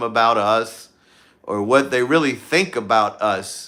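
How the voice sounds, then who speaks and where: A man speaks with a Southern US accent in a bright, sharp tone at a fairly slow pace. The recording is very clean, with a silent background. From US South, Louisiana. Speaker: YouTuber. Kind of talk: casual live stream chat. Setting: outdoors at night, livestream. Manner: relaxed, with frequent fillers.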